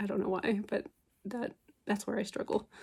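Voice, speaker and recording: Using ordinary pitch variation, a woman speaks at a medium pitch. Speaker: book ASMR creator. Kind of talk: casual talk to camera, book review. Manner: soft-spoken, relaxed.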